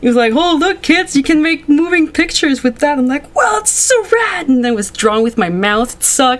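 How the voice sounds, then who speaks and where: With a Quebec accent, the voice moves at a fairly quick pace with hardly any pauses and an animated tone. Pitch swings very widely over noticeable background noise. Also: woman, high pitch for a woman. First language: French. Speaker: animation youtuber. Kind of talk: casual interview chat.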